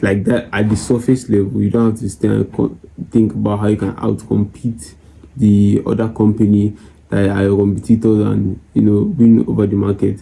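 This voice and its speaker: A quiet man speaks at a moderate pace, his voice somewhat breathy with a dark, mellow tone. His pitch is fairly low and his intonation monotone and flat. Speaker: forex trader and YouTuber. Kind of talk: casual chat to camera. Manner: low, quiet voice.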